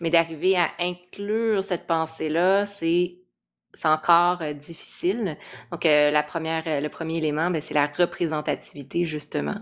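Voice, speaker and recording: On a very clean recording with a silent background, a woman talks at a fairly slow pace with a fairly low pitch. She has a plain, everyday voice and fairly even intonation. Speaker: psychology channel host. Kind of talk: interview.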